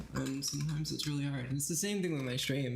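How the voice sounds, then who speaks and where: A man speaks at a medium pitch. Room echo can be heard. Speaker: streamer and pianist. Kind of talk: casual livestream chat. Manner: halting, self-described stuttering.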